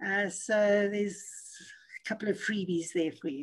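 A woman with a medium pitch sounds somewhat breathy and uses ordinary pitch variation. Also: quiet background. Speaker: motivational speaker and coach; motivational speaker, coach. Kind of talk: interview. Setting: video call. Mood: warm, encouraging. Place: home room. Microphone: video call.

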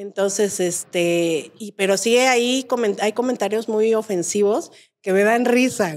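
A woman speaks at a fairly slow pace and medium pitch, with ordinary pitch variation and big swings in loudness. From Mexico. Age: 40s. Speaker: comedian's friend, podcast guest. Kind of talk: casual chat. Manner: animated. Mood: candid, humorous, emphatic. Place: studio. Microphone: studio mic.

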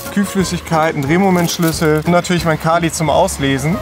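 Clear music plays in the background as a man talks in a dry sound with no echo. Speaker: car vlogger. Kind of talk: casual vlog chat. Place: street. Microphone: phone near.

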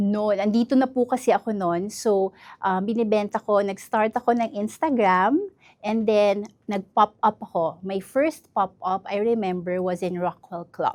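This is a plain, everyday voice, a woman's at medium pitch with ordinary pitch variation. She talks at a fairly slow pace, and the sound is dry and close with no echo. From northern Mindanao, Iligan City. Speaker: entrepreneur. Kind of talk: interview.

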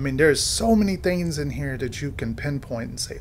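Light background noise accompanies speech delivered at a moderate pace. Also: man. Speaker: video reviewer. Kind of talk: commentary. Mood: amused, enthusiastic. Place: home room.

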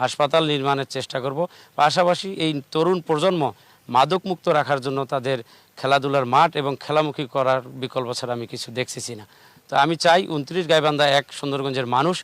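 The recording carries a normal speaking voice with fairly even intonation, the sound dry and close with no echo. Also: man, fairly high pitch for a man. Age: 40s. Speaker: local politician. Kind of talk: political interview. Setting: outdoors with large crowd.

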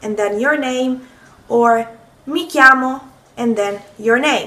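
A woman with an Italian accent speaks in a raised, projected voice at a high pitch. Her pace is very slow, with ordinary pitch variation. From Italy, Rome. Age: 20s. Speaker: language teacher. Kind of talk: tutorial. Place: kitchen. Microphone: phone near.

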